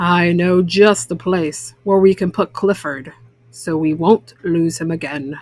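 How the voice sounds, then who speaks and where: Putting on a character voice, a woman speaks at a fairly slow pace in a fairly low voice with fairly even intonation. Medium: read story.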